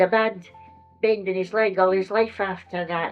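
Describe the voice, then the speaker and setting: With a Scottish accent, a woman of medium pitch speaks in a monotone, flat intonation at a moderate pace while music plays in the background. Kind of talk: interview answer. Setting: old tape recording.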